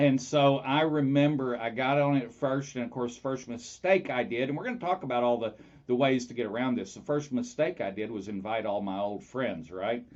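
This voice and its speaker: A man with a medium pitch talks at a moderate pace, using ordinary pitch variation and hardly any pauses. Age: 60s. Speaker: talk show host. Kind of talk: casual chat. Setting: live radio/Facebook broadcast. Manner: hesitant with many fillers.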